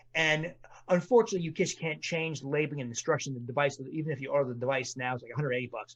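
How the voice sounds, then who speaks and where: A man is talking. There's a somewhat breathy quality to his voice. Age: 60s. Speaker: physician and author. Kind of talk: podcast interview. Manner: animated.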